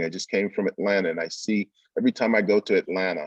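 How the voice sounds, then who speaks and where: Recorded with a dry, close sound with no echo, a man talks at a moderate pace with a New York accent. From Brooklyn, New York. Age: 60s. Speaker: business development speaker. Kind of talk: virtual summit presentation.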